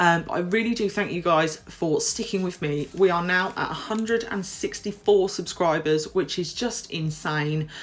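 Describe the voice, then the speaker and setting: A woman's fairly low voice with a British accent, at a moderate pace with hardly any pauses and ordinary pitch variation. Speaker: nail technician and tutorial youtuber. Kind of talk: tutorial voiceover. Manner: casual, slightly halting.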